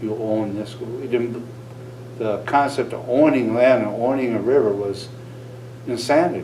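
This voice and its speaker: With an American accent, a man of medium pitch talks at a moderate pace with fairly even intonation and long, frequent pauses, amid noticeable background noise and audible room echo. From northern Wisconsin. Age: 60s. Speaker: Native cultural consultant. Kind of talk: interview.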